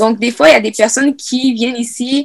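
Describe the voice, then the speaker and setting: The woman's voice is high-pitched, and her delivery is fairly quick. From Quebec (Sherbrooke), raised from age 8; born Congo. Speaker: youth podcast host. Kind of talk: casual panel discussion; scripted outro.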